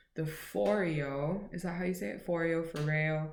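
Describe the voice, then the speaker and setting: The speech moves very slowly with ordinary pitch variation, and room echo is audible. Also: woman. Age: 20s. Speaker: beauty and lifestyle vlogger. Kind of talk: casual haul vlog. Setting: at home, at midnight. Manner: chatty, rambling. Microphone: laptop recording.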